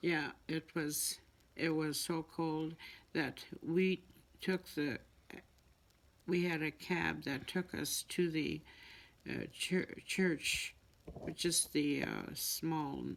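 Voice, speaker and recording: The speaker talks very slowly in a Canadian Prairies accent, with long, frequent pauses. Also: woman. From Manitoba, Canada. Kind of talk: interview answer.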